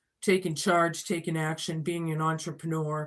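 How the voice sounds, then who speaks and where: In a very clean recording with a silent background, a woman speaks at a moderate pace in a very deep, low voice with monotone, flat intonation. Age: 50s. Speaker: tarot reader. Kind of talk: tarot reading. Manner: conversational.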